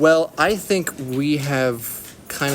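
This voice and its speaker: A man speaks with an American accent. Noticeable background noise runs behind him. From Texas. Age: 20s. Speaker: university student. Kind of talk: interview. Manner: halting, many fillers.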